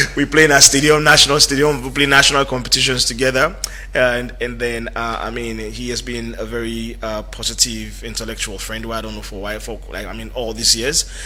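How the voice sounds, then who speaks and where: A man at a fairly quick pace with big swings in loudness, over noticeable background noise. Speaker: radio talk show host. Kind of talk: radio talk show interview. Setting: radio studio.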